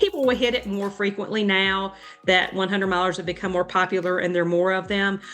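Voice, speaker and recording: A woman with an American accent talks at a very fast pace in a medium pitch. Her intonation is monotone and flat, with music in the background. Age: 50s. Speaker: ultrarunner and running coach. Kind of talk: podcast interview. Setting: podcast. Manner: hesitant with many fillers.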